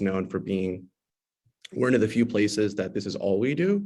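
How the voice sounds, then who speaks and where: A man speaks with a Californian accent. His pitch is fairly low and his pace fairly quick. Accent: Californian American English. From Los Angeles, US West Coast. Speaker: tenant lawyer, panelist. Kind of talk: panel discussion. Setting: video call from a courthouse. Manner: hesitant, many fillers and repeats.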